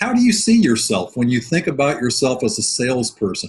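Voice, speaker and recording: This man's voice has a somewhat breathy quality. His pitch falls in the medium range. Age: 60s. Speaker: sales coach. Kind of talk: webinar presentation. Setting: online webinar.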